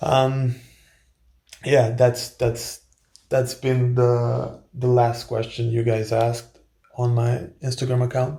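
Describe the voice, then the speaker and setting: A man with a Croatian accent speaks at medium pitch in a dark, mellow tone that is somewhat breathy, keeping his intonation fairly even. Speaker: male model and author, video blogger. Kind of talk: casual Q&A vlog. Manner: halting, many fillers and repetitions.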